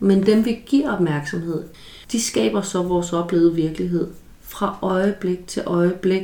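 Her intonation is lively at a medium pitch. The woman speaks at a fairly slow pace. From rural Denmark. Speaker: psychologist podcast host. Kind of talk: solo educational talk. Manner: halting with repetitions.

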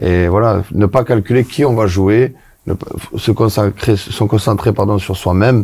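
Somewhat breathy, a man with a southern French accent speaks at a moderate pace in a fairly low pitch, with a dark, mellow tone and fairly even intonation. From southwest France. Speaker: former footballer and coach. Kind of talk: casual chat.

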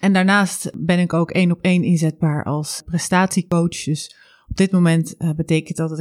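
Her intonation is monotone and flat, at a fairly low pitch for a woman. The sound is dry and close with no echo, and the recording is very clean with a silent background. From South Holland, Netherlands (Zwijndrecht). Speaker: podcast host, coach and performance psychologist. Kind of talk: solo podcast monologue.

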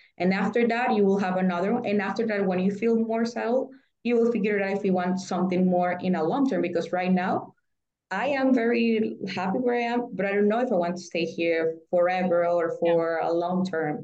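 Speaking at a fairly quick pace in a Spanish accent, a woman has a medium pitch, a dark, mellow tone, ordinary pitch variation and very even loudness. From Nicaragua. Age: 30s. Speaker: former diplomat, market analyst. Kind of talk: interview conversation. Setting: remote call. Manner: halting.

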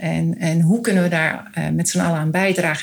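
Noticeable background noise sits behind the voice. A woman speaks with a fairly low pitch. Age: 50s. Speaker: foundation coordinator. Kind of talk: interview.

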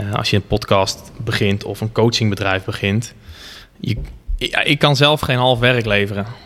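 A man speaks in a plain, everyday voice at a fairly low pitch. His pace is fairly slow, with ordinary pitch variation. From Netherlands, Gelderland (Barneveld-Lunteren). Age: 20s. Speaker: online fitness coach and entrepreneur. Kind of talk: casual interview. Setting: gym.

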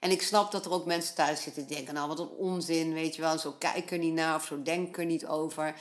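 Barely pausing, a woman speaks fairly quickly in a monotone, flat intonation at a fairly low pitch. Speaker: podcast host, mother and horse owner. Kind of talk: casual solo podcast monologue. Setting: home. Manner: chatty, long-winded, rambling.

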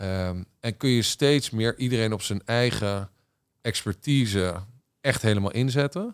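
The speech moves at a fairly slow pace, with a dry, close sound with no echo, in a very clean recording with a silent background. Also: man. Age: 40s. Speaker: business executive. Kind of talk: casual interview. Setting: studio.

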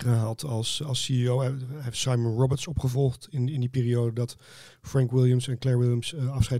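A man with a dark, mellow tone speaks at medium pitch and a moderate pace in a monotone, flat intonation, on a very clean recording with a silent background. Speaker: magazine editor, former press officer. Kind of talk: casual chat.

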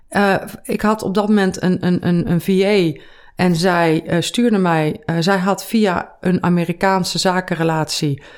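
A woman in a normal speaking voice at medium pitch talks at a fairly slow pace with fairly even intonation and very even loudness, in a very clean recording with a silent background. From Netherlands, Veluwe (Gelderland). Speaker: finance author and entrepreneur. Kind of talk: casual interview. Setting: in person.

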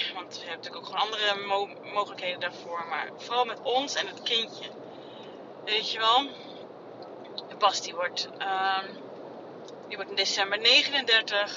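Medium-pitched woman's voice with ordinary pitch variation, big swings in loudness and long, frequent pauses, over noticeable background noise. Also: moderate pace. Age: 30s. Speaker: podcaster. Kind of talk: personal monologue. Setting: in a car. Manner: halting. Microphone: phone mic.

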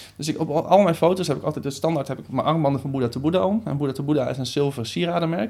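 A man talks at a very fast pace in a fairly high pitch with ordinary pitch variation. The recording is very clean, with a silent background. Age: 20s. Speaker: social media coach and trainer. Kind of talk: interview conversation.

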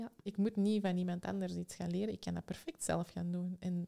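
A woman talks at a fairly quick pace. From Belgium, Antwerp. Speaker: psychological consultant and educator. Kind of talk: interview.

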